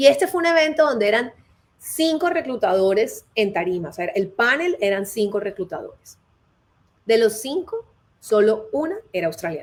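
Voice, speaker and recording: Her pitch fairly high, a woman speaks at a moderate pace with very wide pitch swings. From Colombia. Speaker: HR consultant and career advisor. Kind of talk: live interview.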